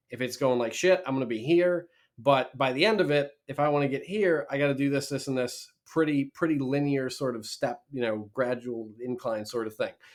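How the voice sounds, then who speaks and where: An American-accented man speaks at a moderate pace with hardly any pauses. His pitch is fairly high and his tone energetic. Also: ordinary pitch variation. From Minnesota, Twin Cities. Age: 20s. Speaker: real estate lender and investor. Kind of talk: podcast interview conversation.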